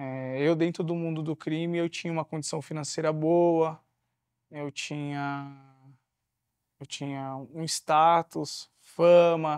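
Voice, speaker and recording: The man's voice is fairly high, with monotone, flat intonation at a very slow pace. Long, frequent pauses break the speech, and the sound is dry with no echo. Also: quiet background. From São Paulo, Capão Redondo; São Paulo. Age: 30s. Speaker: former prisoner, social entrepreneur and speaker. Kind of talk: interview. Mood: reflective, earnest. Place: studio.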